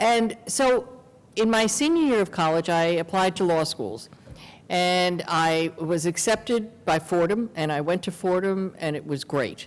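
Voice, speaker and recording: Fairly low-pitched female voice with lively intonation. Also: fairly slow pace. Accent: New York. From New York City, Queens. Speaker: lawyer. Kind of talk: interview conversation.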